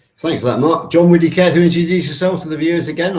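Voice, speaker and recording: Audible room echo surrounds a man speaking in a British accent. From UK. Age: 50s. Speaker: podcast co-host. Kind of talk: hosted panel chat.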